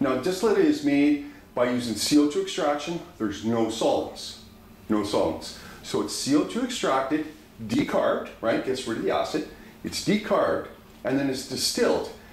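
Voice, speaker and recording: With audible room echo, a man talks at a moderate pace in an animated, enthusiastic tone. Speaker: dispensary educator. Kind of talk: pitchman-style product demo, upbeat sales pitch with repeated 'right?' tags. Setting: video recording showing products to camera. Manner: animated, enthusiastic, persuasive, repeatedly checking for agreement. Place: home room. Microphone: camera far.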